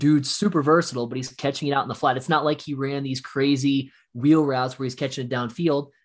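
A man talks at a very fast pace with a fairly high pitch and hardly any pauses. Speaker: podcast co-host. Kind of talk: casual chat. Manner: emotional, animated.

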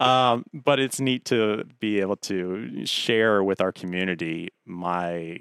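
Speaking at a very slow pace, the man has a very deep, low pitch and ordinary pitch variation. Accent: American. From Hampton, Virginia. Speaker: TV meteorologist. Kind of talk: casual interview.

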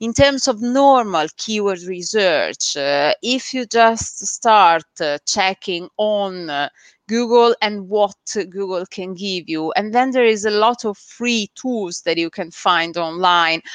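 A woman speaks at a very slow pace with medium pitch. Her pitch varies in an ordinary way. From Italy. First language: Italian. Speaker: SEO agency founder. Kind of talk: interview on a live stream. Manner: hesitant, many filler sounds.

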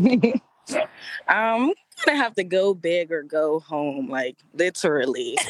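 Very slow and with very wide pitch swings, a woman's medium-pitched voice comes through dry and close, with no echo. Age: 30s. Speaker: makeup artist. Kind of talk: casual chat.

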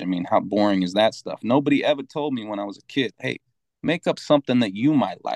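With an American accent, a man speaks at a moderate pace and ordinary pitch variation. He has an unremarkable speaking voice. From Utah, Salt Lake City. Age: 30s. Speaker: music producer and engineer. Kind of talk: casual chat.

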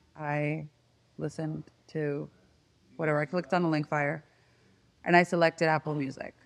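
A woman speaks at a moderate pace in a very deep, low voice against a quiet background. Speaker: music industry marketer. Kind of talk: casual chat.

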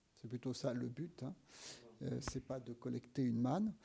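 In a dark, mellow tone, a man delivers his words at a moderate pace. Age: 60s. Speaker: engineer and sustainability advocate. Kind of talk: interview. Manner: hesitant, many fillers.

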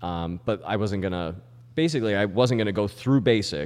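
A man's unremarkable speaking voice at a fairly quick pace, with ordinary pitch variation. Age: 30s. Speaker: army veteran. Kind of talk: casual chat.

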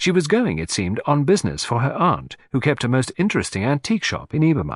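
Very fast and at medium pitch, a man's voice makes very wide pitch swings and carries vocal fry. The background is quiet. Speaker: audiobook narrator. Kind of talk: literary audiobook reading, first-person narration by Hastings with character dialogue. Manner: measured, polished storyteller pacing; voices characters, Poirot with French-accented, fussy delivery.

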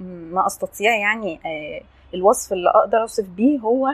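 The speaker is a woman with a fairly high pitch. She talks at a fairly slow pace with ordinary pitch variation. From Egypt (Upper Egypt, Assiut). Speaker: podcast guest sharing life story. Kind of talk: casual interview, personal testimony. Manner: animated.

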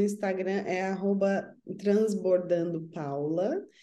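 A woman speaks at a very slow pace in a medium pitch with a dark, mellow tone. Audible room echo fills the recording. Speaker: spiritual counselor. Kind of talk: casual chat.

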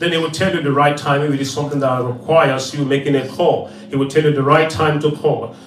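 Over noticeable background noise and audible room echo, a man speaks very fast in a fairly high pitch with monotone, flat intonation. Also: hardly any pauses. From Nigeria. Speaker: evangelist. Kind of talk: prayer and offering announcements.

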